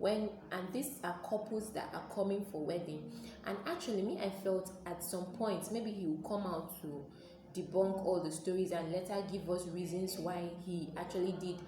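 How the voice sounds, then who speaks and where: With a Nigerian accent, a woman speaks at a medium pitch and fairly even intonation, with audible room echo and music in the background. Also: moderate pace. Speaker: YouTuber, commentary vlogger. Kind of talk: casual vlog commentary.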